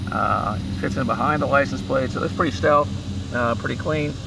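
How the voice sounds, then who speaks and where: Amid noticeable background noise and audible room echo, a man talks at a fairly quick pace with lively intonation and a medium pitch. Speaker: car tech reviewer. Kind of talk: unscripted product review. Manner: halting, many filler words.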